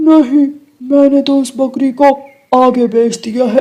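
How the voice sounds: A female-sounding cartoonish character voice is heard. The pitch is high and the pace moderate.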